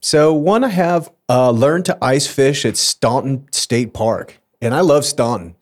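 A man with a plain, everyday voice, fairly high in pitch, at a fairly slow pace with lively intonation, very even loudness and hardly any pauses. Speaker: podcast host. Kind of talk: casual chat.

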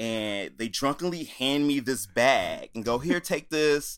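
A man with an American accent and an ordinary speaking voice, medium in pitch with ordinary pitch variation, on a very clean recording with a silent background. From Chicago area, US Midwest. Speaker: musician. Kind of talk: casual chat.

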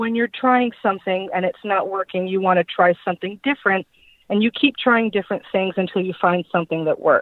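Speaking at a moderate pace with an American accent, a woman uses a normal speaking voice with lively intonation. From Long Island, New York. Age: 30s. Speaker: guest in recovery from alcohol. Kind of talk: testimony.

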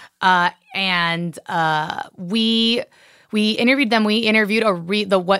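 On a very clean recording with a silent background, a woman speaks fairly slowly in a bright, sharp tone with fairly even intonation. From Miami, Florida. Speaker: actor and comedian. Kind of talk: casual interview chat.

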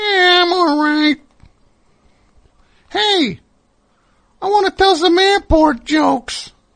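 An extremely high, put-on character voice moves at a very slow pace, broken by long, frequent pauses. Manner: comedic, cheeky.

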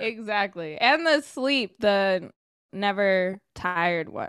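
In a Californian accent, a woman speaks at a medium pitch with lively intonation. The recording is very clean, with a silent background. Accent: Californian American. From Sacramento, California. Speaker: sports host and writer. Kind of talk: casual chat.

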